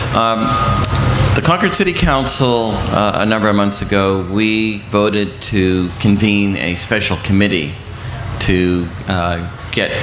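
Over noticeable background noise, a man talks with a fairly low pitch and fairly even intonation. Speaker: city councilor. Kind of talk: panel discussion. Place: tent.

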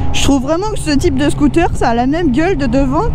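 At a fairly quick pace, a woman speaks with a high pitch. The sound is dry with no echo, though there is noticeable background noise. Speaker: motorcycle vlogger. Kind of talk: casual vlog chat. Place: motorbike.

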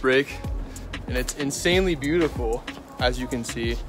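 A man speaks with clear music in the background. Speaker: student vlogger. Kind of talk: casual vlog chat. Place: open country. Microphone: phone near.

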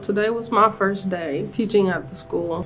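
A woman speaking at a moderate pace, faint music in the background. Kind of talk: casual vlog chat. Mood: reflective, a bit saddened. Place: home room. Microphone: phone near.

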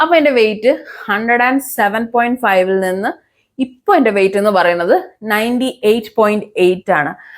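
Lively intonation marks this woman's delivery. She has an ordinary speaking voice and a fairly high pitch. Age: 30s. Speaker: public relations consultant and fitness vlogger. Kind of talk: personal vlog monologue.

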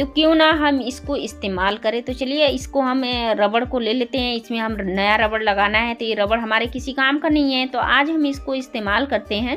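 A woman speaks at a moderate pace in a high voice. Her pitch rises and falls in an ordinary way, with faint music in the background. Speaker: home tips creator. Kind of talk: tutorial.

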